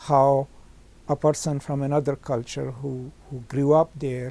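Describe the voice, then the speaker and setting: Here a man talks with a Pakistani accent at a fairly high pitch. His tone is dark and mellow. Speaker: professor. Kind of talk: interview.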